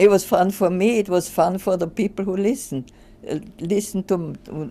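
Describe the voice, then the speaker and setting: In an Austrian accent, a woman talks at a moderate pace. Her tone is dark and mellow. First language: German. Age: 80s+. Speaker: retired social scientist. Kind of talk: interview. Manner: halting.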